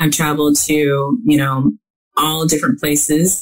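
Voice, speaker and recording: A woman's voice sits at a very deep, low pitch and sounds somewhat breathy. She moves at a fairly quick pace. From US Midwest. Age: 50s. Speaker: author. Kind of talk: interview.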